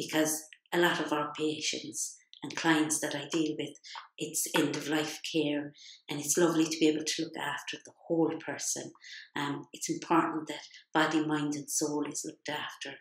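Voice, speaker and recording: In a Limerick accent, a woman speaks at a moderate pace in a very deep, low pitch, her intonation monotone and flat. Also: big swings in loudness. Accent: Irish (Limerick). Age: 60s. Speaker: healthcare assistant. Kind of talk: personal testimony. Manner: hesitant, many fillers.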